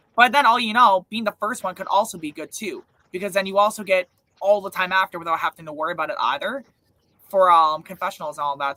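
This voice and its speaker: Speaking very fast in a raised, projected voice, the man has a high pitch and ordinary pitch variation. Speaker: online reality game show host. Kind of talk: live stream recap chat. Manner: casual, filler-heavy.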